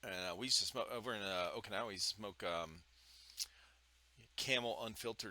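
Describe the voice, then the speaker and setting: Loud and fairly quick, a man speaks at a fairly low pitch with ordinary pitch variation and a bright, sharp tone, leaving long, frequent pauses. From Ohio. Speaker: podcast host, military veteran. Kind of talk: casual chat. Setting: home studio with foam panels.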